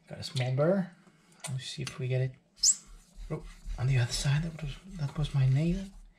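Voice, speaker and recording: A man speaks quietly at a fairly high pitch and a fairly quick pace, with long, frequent pauses. Noticeable background noise runs underneath. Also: ordinary pitch variation. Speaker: knife sharpening hobbyist. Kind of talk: tutorial. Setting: home. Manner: quiet, subdued.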